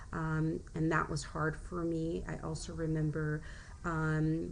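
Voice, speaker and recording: Audible echo fills the room. The words come at a very slow pace. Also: woman. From US, Mexican-American family. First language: Spanish. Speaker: teacher. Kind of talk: personal presentation. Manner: halting, many fillers.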